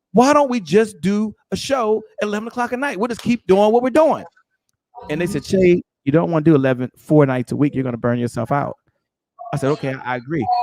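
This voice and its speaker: A man with a high pitch speaks very fast in an animated tone with very wide pitch swings. The sound is dry and close, with no echo. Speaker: entrepreneur and podcast host. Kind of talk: interview.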